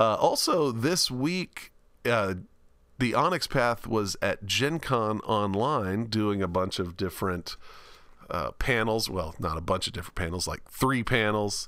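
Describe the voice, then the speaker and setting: Lively intonation marks this man's fairly slow speech. The recording is very clean, with a silent background. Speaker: podcast host. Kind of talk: casual chat.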